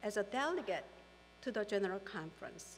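Fairly slow pace, big pitch swings and a fairly bright tone. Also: woman.

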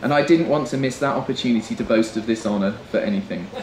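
Lively intonation marks a man talking at a fairly quick pace. Light background noise and audible room echo are present. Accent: English. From England. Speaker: best man. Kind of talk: wedding speech. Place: tent.

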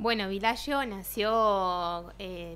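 A woman speaks at a medium pitch, her intonation fairly even. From Santa Fe province, Argentina. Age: young. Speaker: architect; guest. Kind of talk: radio interview. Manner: halting, many fillers and repetitions. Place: studio. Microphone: studio mic.

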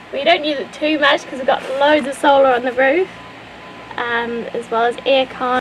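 With a high pitch and ordinary pitch variation, a woman speaks at a fairly quick pace. There is noticeable background noise. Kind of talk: casual vlog chat. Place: open country. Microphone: camera far.

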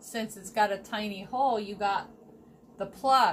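With light background noise, a woman speaks at a fairly high pitch and a fairly slow pace using fairly even intonation. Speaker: YouTube vlogger. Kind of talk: craft tutorial vlog. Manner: hesitant, many fillers. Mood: cheerful, chatty. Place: kitchen. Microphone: phone near.

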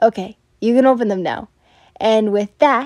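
Over a quiet background, plain reading aloud goes on.

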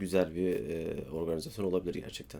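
This man has a very deep, low pitch and a dark, mellow tone. He talks at a moderate pace with fairly even intonation. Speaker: vlogger. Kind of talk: casual chat. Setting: studio.

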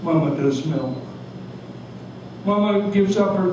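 Male speech with noticeable background noise and an audible echo from the room. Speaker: retired doctor. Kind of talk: poetry reading. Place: cafe. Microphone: camera far.

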